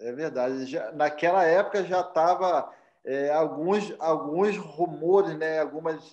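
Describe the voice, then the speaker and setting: A very slow, fairly high-pitched man's voice in a Rio de Janeiro accent, with ordinary pitch variation. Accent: Rio de Janeiro (carioca). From Cordeiro, Rio de Janeiro state mountain region, Brazil. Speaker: missionary pastor. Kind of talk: interview.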